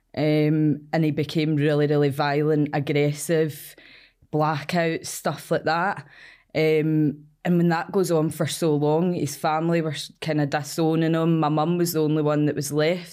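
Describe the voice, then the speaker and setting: In a Glasgow accent, a woman speaks with a very deep, low pitch and a dark, mellow tone, her intonation monotone and flat and her loudness very even. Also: fairly slow pace. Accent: Scottish (Glasgow area). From Scotland, Cumbernauld. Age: 20s. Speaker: addiction recovery worker. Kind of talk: interview.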